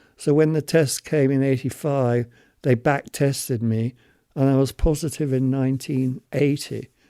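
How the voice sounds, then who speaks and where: With a British accent, a man speaks at a moderate pace in a medium pitch and a dark, mellow tone, his intonation flat and monotone and his loudness very even, in a very clean, dry, close recording with no echo and a silent background. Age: 70s. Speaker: HIV long-term survivor. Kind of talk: testimony.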